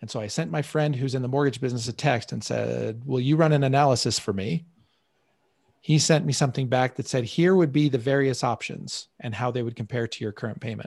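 Over a quiet background, a somewhat breathy man talks at a fairly quick pace with ordinary pitch variation. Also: medium pitch for a man. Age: 40s. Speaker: money coach and show host. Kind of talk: live online class with coaching calls. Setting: live video stream.

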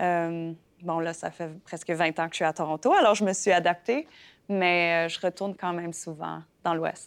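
This woman's voice sits fairly low, with fairly even intonation at a fairly slow pace. The recording is very clean, with a silent background. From Saskatchewan (Fransaskois). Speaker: playwright and actress. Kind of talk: interview. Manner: halting, many fillers.

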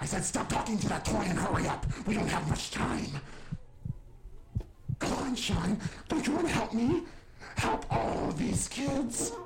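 Through loud background noise, a man in a high-pitched, put-on character voice talks at a moderate pace with long, frequent pauses. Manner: impatient, angry, threatening.

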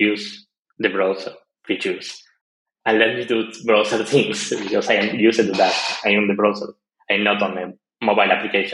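A man with a Spanish accent speaks at a fairly quick pace in a fairly low, monotone, flat voice, with long, frequent pauses. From Argentina. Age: 20s. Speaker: web developer. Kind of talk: casual interview.

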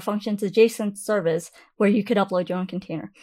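A woman speaks at a medium pitch with ordinary pitch variation. The recording is very clean, with a silent background. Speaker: cloud economist. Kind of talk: interview. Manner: energetic.

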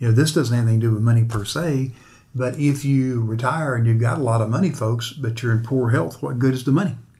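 Somewhat breathy, with a dark, mellow tone and a very fast pace. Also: man, medium pitch for a man, ordinary pitch variation. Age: 60s. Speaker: financial planner and podcast host. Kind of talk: interview.

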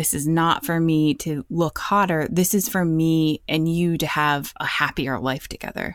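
An ordinary speaking voice with ordinary pitch variation, a fairly slow pace and hardly any pauses, in a very clean recording with a silent background. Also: woman, fairly low pitch for a woman. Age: 40s. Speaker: plant-based cookbook author and podcaster. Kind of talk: casual chat.

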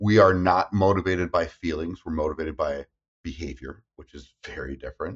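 Vocal fry runs through a fairly quick delivery with ordinary pitch variation and big swings in loudness. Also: man, very deep, low pitch for a man. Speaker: therapist. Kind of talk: casual chat. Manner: fast talker; animated.

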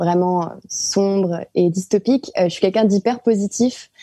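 A woman speaks at a fairly slow pace in a dark, mellow tone. Her pitch is medium and her intonation fairly even. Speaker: artist. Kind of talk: casual chat.

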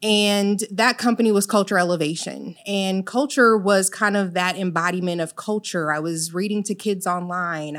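In a very clean recording with a silent background, a woman with an American accent uses a plain, everyday voice, moderate pace and fairly even intonation. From Illinois, of Jamaican parents. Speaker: mental health business owner. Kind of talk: interview.

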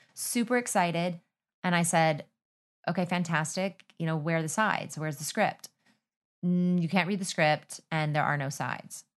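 A woman with an unremarkable speaking voice and fairly low pitch talks at a moderate pace with ordinary pitch variation. The background is quiet. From Texas. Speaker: actor. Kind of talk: casual chat.

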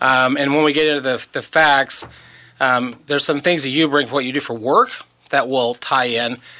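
This is an ordinary speaking voice. A man talks at a moderate pace and a fairly high pitch. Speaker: radio host. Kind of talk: casual radio chat. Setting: radio studio.

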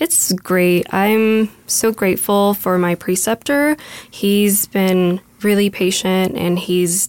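Speaking very slowly at a medium pitch, a woman keeps her intonation fairly even, the sound dry and close with no echo. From US, Mexican-American. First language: Spanish. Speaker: nursing student. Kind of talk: casual interview conversation. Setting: studio. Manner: hesitant, filler words.

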